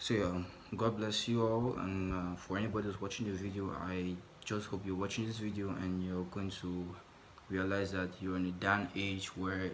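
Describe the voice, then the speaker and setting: Someone with a non-native accent talks at a fairly quick pace amid audible room echo. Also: man. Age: 20s. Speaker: vlogger. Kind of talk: personal vlog monologue. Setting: in his room. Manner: halting.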